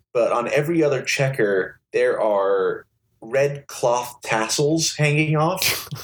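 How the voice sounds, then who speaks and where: The voice holds a very even loudness and moves at a very slow pace. Its pitch varies in an ordinary way, with a somewhat breathy quality. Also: man, fairly high pitch for a man. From US, born in Liverpool, England, moved at six. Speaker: game show contestant guest. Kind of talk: casual chat.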